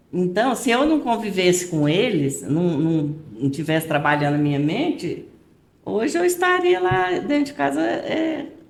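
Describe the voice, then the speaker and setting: With audible room echo, a woman speaks at a medium pitch, her loudness very even while her pitch swings very widely. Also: fairly slow pace. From Goiás, Brazil. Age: 70s. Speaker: retired-age schoolteacher. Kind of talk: podcast interview.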